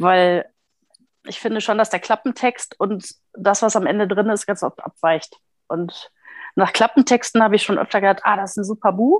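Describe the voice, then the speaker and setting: On a very clean recording with a silent background and a dry, close sound with no echo, a woman speaks at medium pitch and a moderate pace, with ordinary pitch variation and long, frequent pauses. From Ruhr area, Germany (Recklinghausen). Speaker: book blogger. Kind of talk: casual chat.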